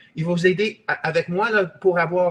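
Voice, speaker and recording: A man's high-pitched speech comes through noticeable background noise. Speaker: real estate investor and trainer. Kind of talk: webinar sales pitch. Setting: online webinar. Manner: halting, with many repetitions and hesitations.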